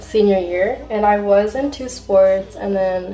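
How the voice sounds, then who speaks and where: Mumbling over music in the background, a woman speaks at a medium pitch with an American accent and fairly even intonation. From Riverside, California. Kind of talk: casual talk to camera.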